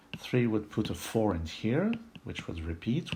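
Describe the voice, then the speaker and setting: With a strong French accent, a man speaks at a fairly slow pace, his pitch swinging very widely. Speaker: puzzle solving video creator. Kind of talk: puzzle solving tutorial. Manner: thinking aloud, some hesitations.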